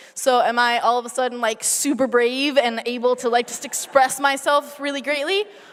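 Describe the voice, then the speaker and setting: Noticeable background noise sits behind a woman speaking at a moderate pace with a high pitch. She has ordinary pitch variation and hardly any pauses. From Argentina. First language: Spanish. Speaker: researcher. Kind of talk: science slam talk. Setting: stage with audience. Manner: casual, many fillers.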